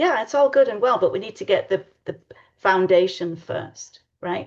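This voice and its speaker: A woman speaks with an English accent. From England. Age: 60s. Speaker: tarot reader. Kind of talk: casual chat.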